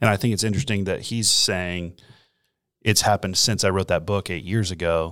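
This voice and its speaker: In a very clean recording with a silent background, a man with a plain, everyday voice speaks at a fairly quick pace with a fairly low pitch and fairly even intonation. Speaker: pastor. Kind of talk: casual chat.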